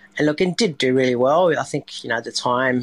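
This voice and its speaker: A man with a strong Australian accent, dry and close with no echo, on a very clean recording with a silent background. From Sydney, Australia (born in France, moved at eight). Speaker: restaurant owner and chef. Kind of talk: podcast interview.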